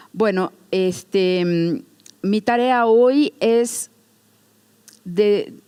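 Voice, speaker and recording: A woman's medium-pitched voice with a dark, mellow tone and a non-native accent. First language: Portuguese (speaking Spanish). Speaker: museum educator. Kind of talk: lecture. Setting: stage with audience. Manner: halting.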